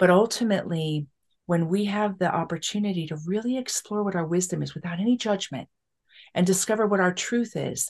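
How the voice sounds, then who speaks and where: A woman talks at a fairly quick pace in an ordinary speaking voice, with ordinary pitch variation against a quiet background. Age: 50s. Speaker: spiritual teacher and author. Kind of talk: casual chat. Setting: podcast interview.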